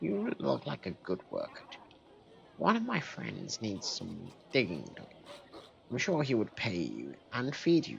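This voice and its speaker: Using a put-on character voice, a man speaks at a fairly slow pace. His pitch sits in the medium range. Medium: game stream. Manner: salesy, ingratiating.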